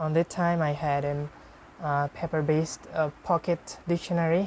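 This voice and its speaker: A woman with a Bengali accent, very deep and low in pitch, at a moderate pace in a monotone, flat intonation. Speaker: IELTS speaking practice partner. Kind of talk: casual chat. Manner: halting.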